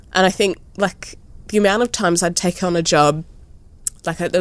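A woman speaks with an Australian accent. Her pitch is fairly low. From Australia, New South Wales South Coast. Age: 30s. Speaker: visual artist. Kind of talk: interview.

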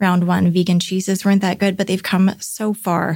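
At a moderate pace and medium pitch, a woman speaks in a somewhat breathy voice with monotone, flat intonation. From Vancouver, Canada. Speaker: baker and business owner. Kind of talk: casual interview chat.

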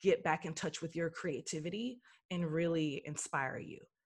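This very clean recording with a silent background captures a woman with an unremarkable speaking voice and a fairly low pitch. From Texas, Dallas. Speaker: actress and writer. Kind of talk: casual chat.

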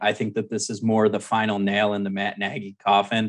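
At a moderate pace, a man talks in a fairly low pitch with an unremarkable speaking voice. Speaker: fantasy football editor. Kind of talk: casual chat. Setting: phone call.

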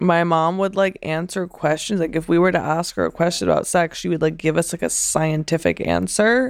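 A woman's plain, everyday voice with an American accent, fairly low in pitch, at a moderate pace with ordinary pitch variation, on a very clean recording with a silent background. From Pennsylvania, US. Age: 20s. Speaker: actress. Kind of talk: interview. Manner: casual, many filler words.

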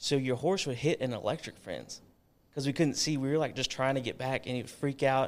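In a normal speaking voice, a man speaks fairly quickly at a medium pitch with fairly even intonation. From Texas, Georgetown near Austin. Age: 30s. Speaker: leather maker. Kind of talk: casual chat.

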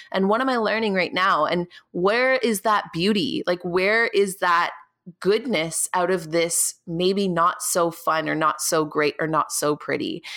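A woman's bright, sharp voice at a fairly slow pace, with very even loudness and ordinary pitch variation. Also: medium pitch for a woman. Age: 20s. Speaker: podcast host and YouTuber. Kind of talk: casual solo monologue. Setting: sitting at her desk at home. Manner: animated.

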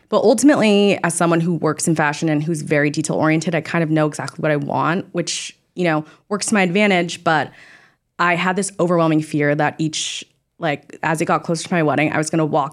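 Speech in an American accent comes at a very fast pace with fairly even intonation and very even loudness. The recording is very clean, with a silent background. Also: woman. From California, Orange County. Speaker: bride-to-be, fashion industry worker. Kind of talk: casual chat. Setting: studio.

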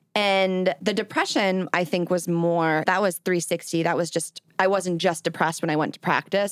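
On a very clean recording with a silent background, a woman with a fairly low pitch and an ordinary speaking voice talks at a moderate pace with ordinary pitch variation. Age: 20s. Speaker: content creator and podcaster. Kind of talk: interview.

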